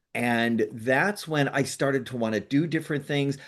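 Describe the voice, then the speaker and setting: At a fairly slow pace, a man talks at medium pitch with ordinary pitch variation against a quiet background. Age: 60s. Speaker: nonprofit founder and pilot. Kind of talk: casual interview. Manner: halting, many fillers and restarts.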